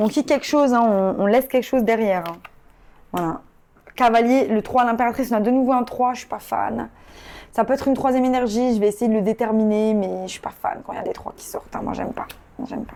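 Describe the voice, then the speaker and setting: At a very fast pace, a woman with a fairly high pitch and a dark, mellow tone speaks with ordinary pitch variation and big swings in loudness. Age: 30s. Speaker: tarot reader. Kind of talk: tarot reading. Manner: casual, hesitant with many fillers.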